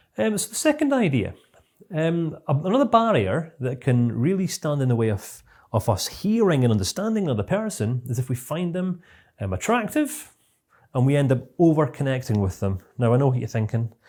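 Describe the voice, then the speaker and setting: A man with a Scottish accent talks at a fairly quick pace, somewhat breathy, his fairly high pitch moving in very wide swings. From Scotland. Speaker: CBT trainer. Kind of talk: online course lecture. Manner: fast.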